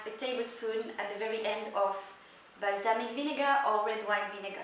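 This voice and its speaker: Moderately paced female speech amid audible room echo and noticeable background noise. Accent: French. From Italy. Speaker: chef. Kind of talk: cooking tutorial; video sign-off. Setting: home kitchen. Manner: animated.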